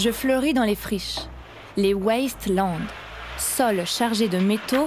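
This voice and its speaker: A woman's theatrical, solemn tone at a very slow pace, with ordinary pitch variation. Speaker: storyteller performer. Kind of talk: dramatic first-person narration as the knotweed plant. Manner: theatrical, clipped declarative phrasing; slow, ceremonial, solemn address.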